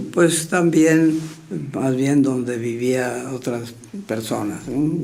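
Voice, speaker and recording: A man with a fairly high pitch talks at a very slow pace, with audible room echo. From Mexico, Querétaro. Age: 90s. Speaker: retired surgeon. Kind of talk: interview reminiscence. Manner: halting, many fillers.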